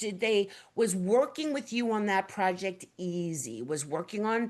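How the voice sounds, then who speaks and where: A loud, animated woman with a New York accent. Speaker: webinar host, print industry executive director. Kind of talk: presentation webinar.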